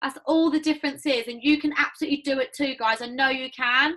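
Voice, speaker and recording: A woman speaks in a high-pitched voice. Her pace is fairly quick. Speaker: network marketing team leader. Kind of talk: motivational team talk. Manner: animated.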